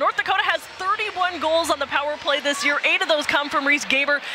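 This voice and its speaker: With music in the background, a woman uses a raised, projected voice at a high pitch and fairly quick pace, with ordinary pitch variation, in a dry sound with no echo. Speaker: sports reporter and host. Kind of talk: reporter stand-ups, live hits and interview questions.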